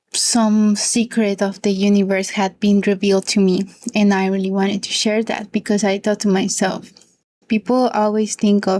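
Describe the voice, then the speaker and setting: In a Spanish accent, a woman talks at a moderate pace with a dark, mellow tone, a medium pitch and monotone, flat intonation. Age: 20s. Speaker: book youtuber. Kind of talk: casual monologue vlog.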